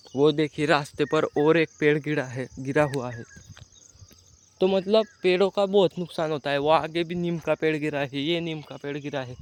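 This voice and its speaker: A man's fairly high voice at a moderate pace, with ordinary pitch variation, big swings in loudness, and a dry, close sound free of echo. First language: Marathi (speaking Hindi). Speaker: vlogger. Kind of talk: walking tour vlog narration. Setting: outdoors. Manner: halting.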